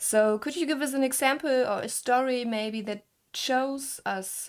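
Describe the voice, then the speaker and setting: With a German accent, a woman speaks at a fairly slow pace with ordinary pitch variation. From Germany. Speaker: gaming content creator and interviewer. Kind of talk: casual interview. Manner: halting.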